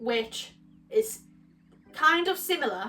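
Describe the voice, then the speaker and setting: Over music in the background, a woman talks with a northern English accent and lively intonation. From northern England. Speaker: YouTuber and university student. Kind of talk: casual vlog talk to camera. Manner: halting, many false starts and fillers.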